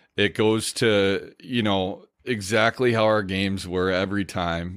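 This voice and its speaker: With an American accent, a man talks in a normal speaking voice at a fairly low pitch with fairly even intonation, on a very clean recording with a silent background. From Minnesota, Stillwater. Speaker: former hockey player. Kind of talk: casual chat.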